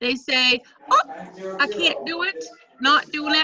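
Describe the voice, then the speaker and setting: Over light background noise, a woman with a high pitch speaks in a raised, projected voice. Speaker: direct sales team leader. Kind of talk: casual team video meeting. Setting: video call. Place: home room. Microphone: unstable wifi connection; video call.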